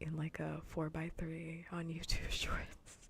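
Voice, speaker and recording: Someone soft-spoken talks at a very slow pace. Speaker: vtuber streamer. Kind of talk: casual livestream chat while gaming.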